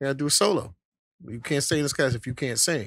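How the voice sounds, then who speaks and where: A plain, everyday voice from a man, fairly high in pitch, with lively intonation and a fairly quick pace. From Brooklyn, New York (Bedford-Stuyvesant). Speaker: singer. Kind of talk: casual chat.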